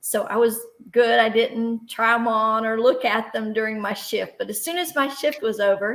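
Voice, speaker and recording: A woman speaks in a normal speaking voice. Her pitch moves with ordinary variation. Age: 60s. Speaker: author and speaker. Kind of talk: workshop storytelling.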